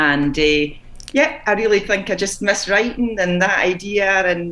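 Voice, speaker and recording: The voice carries a Scottish accent and lively intonation. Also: woman. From Scotland, Fife. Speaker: children's book author. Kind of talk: interview. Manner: hesitant, with filler sounds.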